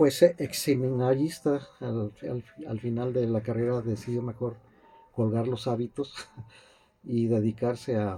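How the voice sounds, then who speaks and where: A man talks at a fairly slow pace with medium pitch. His intonation stays fairly even. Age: 60s. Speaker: piano teacher. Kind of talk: interview. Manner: halting, many fillers and repetitions.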